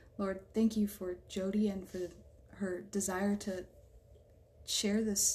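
A woman with an American accent speaks at a fairly slow pace and a medium pitch, with noticeable background noise behind her. Her intonation is monotone and flat. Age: 20s. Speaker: artist and EMT student. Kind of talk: spoken prayer; casual faith conversation.

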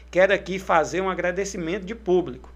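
This man has a high pitch. He talks at a fairly quick pace. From Brazil, Tocantins. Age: 30s. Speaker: mayor. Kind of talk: interview. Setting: studio.

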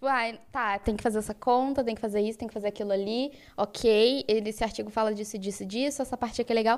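This woman has a plain, everyday voice, fairly high in pitch, moving at a fairly quick pace with hardly any pauses and fairly even intonation. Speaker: podcast co-host, physics student. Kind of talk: casual chat.

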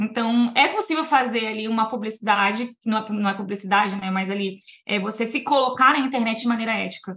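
Her bright, sharp, fairly high voice moves at a fairly quick pace with hardly any pauses and fairly even intonation as the woman speaks. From Brazil, Niterói, Rio de Janeiro; teens in Vitória, Espírito Santo. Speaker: immigration lawyer. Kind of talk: casual interview chat.

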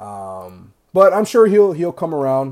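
A man talks with an American accent. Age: 20s. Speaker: sports podcast host. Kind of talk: casual chat. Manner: hesitant, many fillers.

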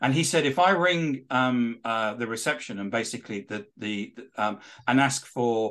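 A man with a British accent talks at a medium pitch with lively intonation. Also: quiet background. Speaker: author and social selling expert. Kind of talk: interview. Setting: studio.

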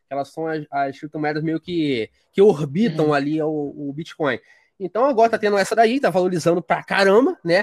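A man's fairly high-pitched, normal speaking voice at a moderate pace, with lively intonation and a dry, close sound with no echo. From Rio de Janeiro, Brazil. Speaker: tech writer and editor. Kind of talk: podcast interview.

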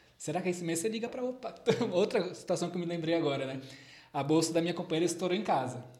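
A man with a high pitch speaks very fast with ordinary pitch variation over noticeable background noise. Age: 30s. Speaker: psychologist. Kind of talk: casual chat.

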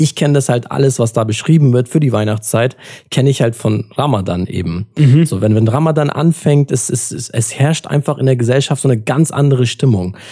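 A man's dark, mellow voice at medium pitch, somewhat breathy, at a fairly quick pace with hardly any pauses, very even loudness and ordinary pitch variation. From Germany (Turkish family, Adana roots). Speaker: podcast host. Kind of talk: casual chat.

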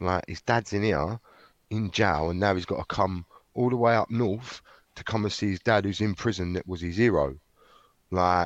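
In a South London accent, a man talks at a moderate pace with long, frequent pauses, recorded in a dry, close sound with no echo against a quiet background. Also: fairly low pitch for a man, ordinary pitch variation. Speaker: former criminal turned author. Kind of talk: interview.

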